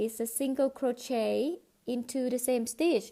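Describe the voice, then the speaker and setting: A woman's high-pitched voice with a dark, mellow tone, a fairly slow pace and ordinary pitch variation. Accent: non-native. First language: not English. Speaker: crochet teacher. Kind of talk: tutorial. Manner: halting.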